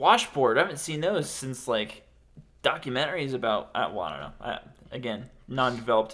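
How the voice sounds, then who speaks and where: A man talks fairly quickly with lively intonation and vocal fry. His tone is bright and sharp, with big swings in loudness. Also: medium pitch for a man. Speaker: podcast host and aspiring stand-up comedian. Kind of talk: casual chat.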